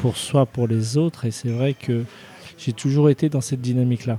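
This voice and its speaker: A man speaks with a dark, mellow tone. His pace is fairly slow and his intonation fairly even. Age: 30s. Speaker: chef. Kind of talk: interview. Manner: halting.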